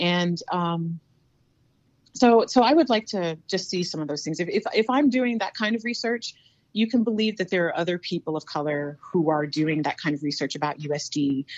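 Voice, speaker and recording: A woman with a normal speaking voice talks in an American accent at a moderate pace. Her pitch is fairly low and her intonation lively. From US South, North Carolina. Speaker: university diversity director and history lecturer. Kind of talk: interview.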